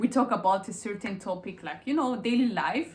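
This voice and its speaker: At a moderate pace, a woman talks in a plain, everyday voice, her intonation lively. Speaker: YouTuber. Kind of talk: casual chat.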